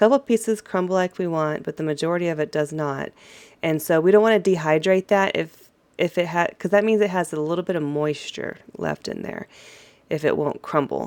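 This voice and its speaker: A woman's fairly low voice at a moderate pace, with ordinary pitch variation. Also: very clean recording, silent background. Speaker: gardening YouTuber. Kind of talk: casual tutorial vlog. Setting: in a garage at night. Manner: quiet, keeping voice down.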